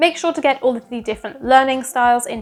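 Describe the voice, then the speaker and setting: Over music in the background, a woman speaks at a high pitch with ordinary pitch variation. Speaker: former English teacher and vlogger. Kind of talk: advice vlog.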